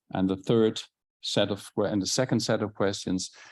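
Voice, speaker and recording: Against a quiet background, a man speaks with a Dutch accent. His pace is fairly quick and his intonation fairly even. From Netherlands. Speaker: conference session moderator. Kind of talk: conference presentation. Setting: conference hall with live audience. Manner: halting, many fillers and restarts.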